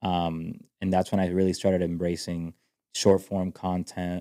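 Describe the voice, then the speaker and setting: A man with a Spanish accent speaks in a very deep, low voice with a dark, mellow tone at a moderate pace. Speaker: country music singer. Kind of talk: podcast interview. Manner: halting, many fillers and restarts.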